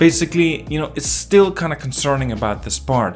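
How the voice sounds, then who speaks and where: Over music in the background, a man with a non-native accent speaks at a fairly quick pace with lively intonation. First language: not English. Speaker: gaming commentator. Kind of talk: casual video commentary. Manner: halting, many fillers and restarts.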